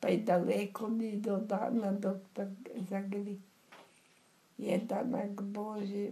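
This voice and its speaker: Over noticeable background noise, a woman speaks at a very slow pace in a monotone, flat intonation. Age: 80s+. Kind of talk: poetry reading.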